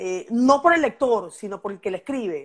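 A woman with a fairly high pitch and lively intonation speaks at a fairly slow pace, on a very clean recording with a silent background. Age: 50s. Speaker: poet. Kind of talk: casual chat.

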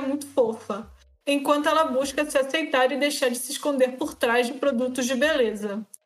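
This woman's voice sits at a high pitch. Her intonation stays fairly even. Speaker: podcast co-host. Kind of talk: casual chat.

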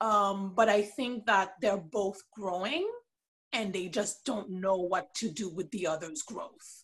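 At a very slow pace, a woman of medium pitch sounds somewhat breathy, with ordinary pitch variation. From Haiti, Port-au-Prince. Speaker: podcast guest, TV fan. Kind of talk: casual chat.

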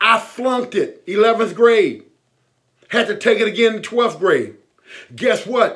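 An energetic tone at a fairly slow pace, with long, frequent pauses and ordinary pitch variation. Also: man, extremely high pitch for a man. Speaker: army veteran and motivational speaker. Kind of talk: motivational talk.

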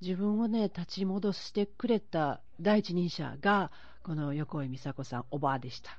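With lively intonation, a woman talks at a fairly low pitch. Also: fairly slow pace. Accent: Osaka. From Osaka, Tsurumi ward. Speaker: podcast host. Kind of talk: casual chat. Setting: phone call.

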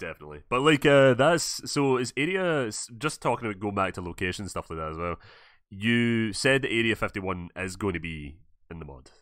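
With a Scottish accent, a man talks at a fairly quick pace in a fairly low pitch with very wide pitch swings, on a very clean recording with a silent background. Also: big swings in loudness. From Scotland. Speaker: podcast host and gaming YouTuber. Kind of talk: casual interview chat. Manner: animated.

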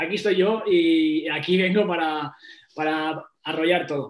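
This man speaks at a high pitch. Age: 20s. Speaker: strength coach. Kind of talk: interview. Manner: halting.

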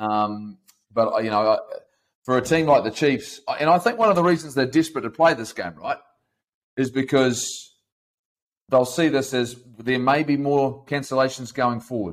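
A man speaks with a New Zealand accent, leaving long, frequent pauses. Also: medium pitch for a man, ordinary pitch variation, moderate pace. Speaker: podcast host, rugby presenter. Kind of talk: casual debate.

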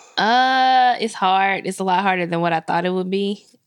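In a very clean recording with a silent background, a woman of medium pitch talks at a moderate pace with ordinary pitch variation. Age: 20s. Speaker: podcast co-host. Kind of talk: casual chat. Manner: halting.

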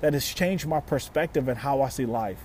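With an American accent, this man has an ordinary speaking voice, pitched fairly high, with ordinary pitch variation. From Louisiana, US South. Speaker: podcast host, motivational speaker. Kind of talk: motivational talk.

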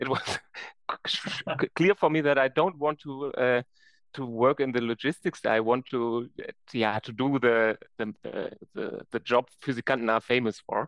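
A medium-pitched man with a German accent at a moderate pace, the sound dry and close with no echo. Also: ordinary pitch variation. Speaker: science performer. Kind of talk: interview. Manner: animated; halting.

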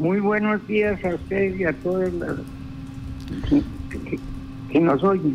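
Over noticeable background noise, a man with a high pitch talks at a very slow pace, leaving long, frequent pauses, his pitch varying in an ordinary way. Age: 80s+. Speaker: cattle rancher. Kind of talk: phone interview. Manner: halting.

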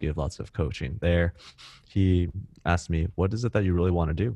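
A man with an American accent speaks at a fairly quick pace in a very deep, low pitch, with a dark, mellow tone and fairly even intonation. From US West Coast, Cupertino, California. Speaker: startup co-founder and marketing executive. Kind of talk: casual interview.

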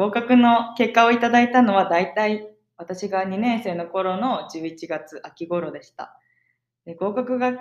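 Speaking at a fairly slow pace, a woman has a plain, everyday voice at a medium pitch, with ordinary pitch variation and big swings in loudness. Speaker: podcast co-host, exchange student. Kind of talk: casual chat.

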